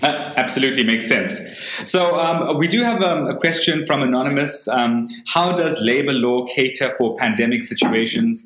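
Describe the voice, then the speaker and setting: With noticeable background noise behind him, a man with a fairly high pitch speaks at a moderate pace with lively intonation. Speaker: webinar host. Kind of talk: moderated panel discussion. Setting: video call.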